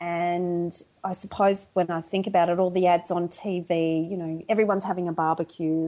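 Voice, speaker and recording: A woman's fairly low, dark, mellow voice with an Australian accent, monotone and flat, at a moderate pace with hardly any pauses against a quiet background. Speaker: podcast guest.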